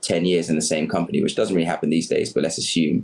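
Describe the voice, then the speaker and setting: This is a man speaking. He has a British accent. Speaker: community activist. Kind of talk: podcast interview.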